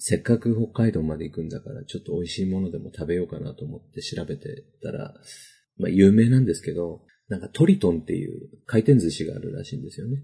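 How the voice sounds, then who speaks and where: Somewhat breathy, a man's voice has a dark, mellow tone and very wide pitch swings. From northern Kanto, Japan. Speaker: podcast host. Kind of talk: casual chat.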